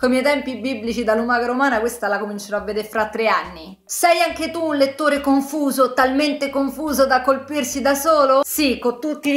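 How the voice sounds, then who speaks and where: A high-pitched woman at a fairly quick pace, with ordinary pitch variation, hardly any pauses and audible room echo. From Italy. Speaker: book YouTuber. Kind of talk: casual vlog monologue. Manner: animated. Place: home room.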